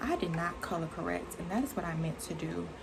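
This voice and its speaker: A soft-spoken woman talks at a moderate pace amid audible room echo and noticeable background noise. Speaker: beauty vlogger. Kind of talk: casual chat. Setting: bedroom.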